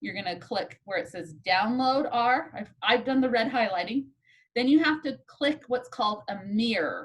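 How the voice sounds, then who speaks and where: At a moderate pace, a woman uses a normal speaking voice, pitched fairly high, with lively intonation. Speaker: statistics instructor. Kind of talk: lecture. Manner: casual.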